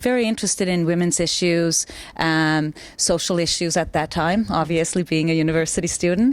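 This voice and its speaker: A woman's fairly low voice with a Finnish accent, fairly quick, with ordinary pitch variation and very even loudness. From Finland. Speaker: mayoral candidate. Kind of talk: interview.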